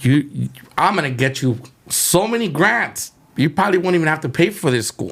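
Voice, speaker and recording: With lively intonation, a man talks at a moderate pace in a fairly high pitch. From California, Mexican-American. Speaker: chef. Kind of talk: casual interview storytelling.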